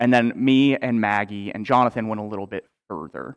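The pitch shows ordinary variation. The background is quiet. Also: man. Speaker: pastor. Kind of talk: sermon. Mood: warm, lightly humorous. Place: church. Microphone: headset.

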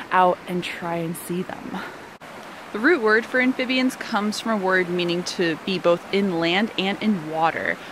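A woman speaks at a fairly slow pace in a dry sound with no echo, over noticeable background noise. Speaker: nature educator. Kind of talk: outdoor educational walk-and-talk. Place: forest. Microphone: phone near.

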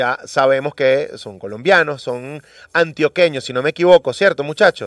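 Against a quiet background, a man talks at a moderate pace in an animated tone with lively intonation, the sound dry with no echo. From Venezuela. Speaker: radio host. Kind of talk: morning radio show chat. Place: studio.

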